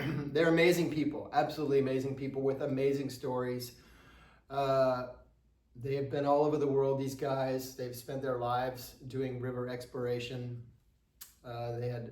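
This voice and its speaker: Audible echo from the room fills the recording. The delivery is monotone, flat intonation throughout. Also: man. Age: 60s. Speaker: travel vlogger sharing trip advice. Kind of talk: casual advice monologue. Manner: hesitant, many filler words.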